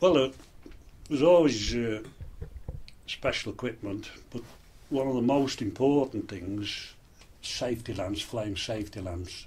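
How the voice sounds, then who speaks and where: Pausing long and often, a man speaks at a fairly slow pace with a medium pitch, lively intonation and a somewhat breathy sound. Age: 60s. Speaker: retired coal miner. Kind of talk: interview. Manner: halting, with frequent fillers.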